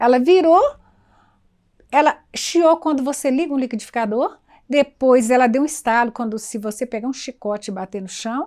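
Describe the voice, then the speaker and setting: A high-pitched woman at a moderate pace, lively intonation and big swings in loudness, on a very clean recording with a silent background. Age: 70s. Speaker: cultural community elder. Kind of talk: documentary interview, personal storytelling.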